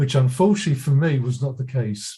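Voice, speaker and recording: Breathy to some degree, a man's dark, mellow voice sits fairly high in pitch, with ordinary variation at a moderate pace. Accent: English. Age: 80s+. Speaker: audience member asking a question. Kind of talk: audience question. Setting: video call.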